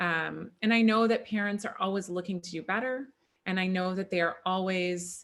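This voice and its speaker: At a medium pitch and moderate pace, a woman speaks in a normal speaking voice with fairly even intonation. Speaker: functional medicine practitioner and chiropractor. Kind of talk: online workshop presentation. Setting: video call.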